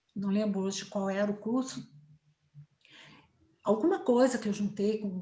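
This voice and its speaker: A woman speaks at a moderate pace. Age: 60s. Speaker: psychologist and family therapist. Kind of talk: interview. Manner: fluent, assured.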